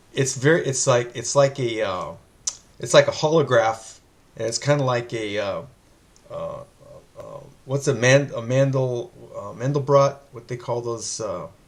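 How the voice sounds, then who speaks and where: Speaking at a moderate pace with a medium pitch, a man keeps his intonation fairly even but lets his loudness swing widely. Long, frequent pauses break up his speech against noticeable background noise. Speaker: interview host. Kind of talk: interview. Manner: stammering, halting.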